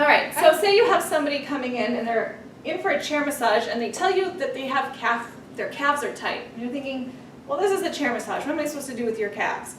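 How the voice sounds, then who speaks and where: A woman's high-pitched voice at a very fast pace with lively intonation, plus audible room echo and noticeable background noise. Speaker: massage therapy instructor. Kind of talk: tutorial. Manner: casual.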